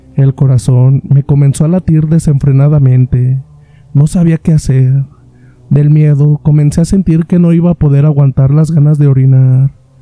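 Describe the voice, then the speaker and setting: The speaker's somewhat breathy voice comes at a moderate pace with monotone, flat intonation, very even loudness, and a dry, close sound with no echo. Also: man, fairly high pitch for a man. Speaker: horror story podcast host. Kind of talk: scripted narration.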